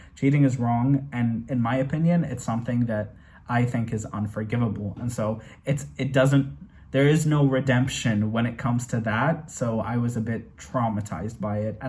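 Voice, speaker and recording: With audible room echo around him, a man speaks at a moderate pace in a medium pitch, his voice somewhat breathy and his pitch variation ordinary. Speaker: movie reaction youtuber. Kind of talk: casual review monologue. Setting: home bedroom. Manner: animated; stuttering at times.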